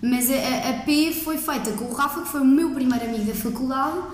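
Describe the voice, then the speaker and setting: Audible room echo and noticeable background noise surround a woman speaking with ordinary pitch variation. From central Portugal (Coimbra, Aveiro). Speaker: law student. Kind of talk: casual chat.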